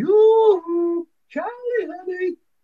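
An extremely high pitch marks this put-on character voice. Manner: sweet.

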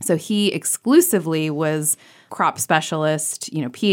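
A voice with an American accent comes through on a very clean recording with a silent background. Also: woman. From rural Ohio. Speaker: nonprofit executive director. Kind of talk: radio interview.

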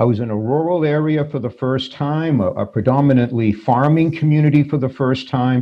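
A man with an ordinary speaking voice talks at a moderate pace at medium pitch with ordinary pitch variation. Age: 60s. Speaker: former priest. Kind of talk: interview.

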